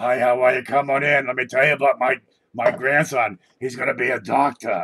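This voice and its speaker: Using a put-on character voice, a man speaks at a fairly quick pace with medium pitch and monotone, flat intonation. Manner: friendly, proud.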